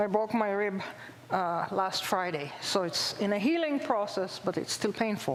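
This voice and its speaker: Pitched at a medium level, a woman with an Israeli accent speaks at a moderate pace with lively intonation and very even loudness, amid audible room echo and noticeable background noise. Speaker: zoology professor. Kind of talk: public lecture. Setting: stage with audience.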